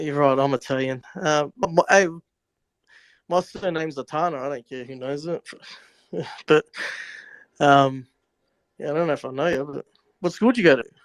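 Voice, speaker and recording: A man's fairly high voice in an Australian accent, with ordinary pitch variation, a moderate pace, long, frequent pauses and a dry, close sound with no echo. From Australia, Melbourne. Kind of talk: casual chat. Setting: live audio chat room. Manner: halting.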